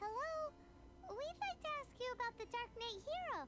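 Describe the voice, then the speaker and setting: In a put-on character voice, the speaker sounds squeaky and extremely high-pitched at a moderate pace. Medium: video game. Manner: blunt, excitable.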